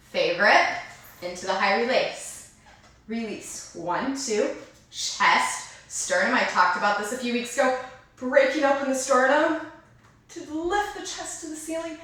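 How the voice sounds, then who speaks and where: Amid noticeable background noise and audible room echo, a woman with a high pitch talks at a fairly slow pace, her pitch swinging very widely. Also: big swings in loudness. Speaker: dance teacher. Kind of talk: online dance class instruction.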